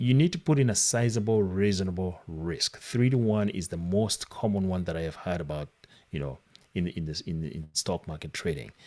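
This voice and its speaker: A man with a non-native accent speaks in a very deep, low pitch with a dark, mellow tone. His intonation is lively and his pace is moderate. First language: not English. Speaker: trading coach. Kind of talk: live online class. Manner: halting.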